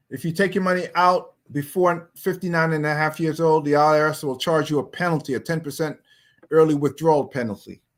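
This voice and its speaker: A man with an American accent has a normal speaking voice at a fairly high pitch. He speaks at a moderate pace with fairly even intonation. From US, New York. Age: 60s. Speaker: pastor teaching personal finance. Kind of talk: online finance class. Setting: online livestream. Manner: casual.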